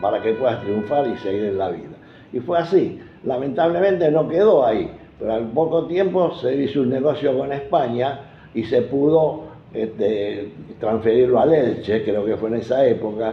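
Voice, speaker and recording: Lively intonation and a medium pitch mark this man's moderate-paced speech. Noticeable background noise and audible room echo are present. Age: 80s+. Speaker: football club veteran supporter. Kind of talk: interview storytelling.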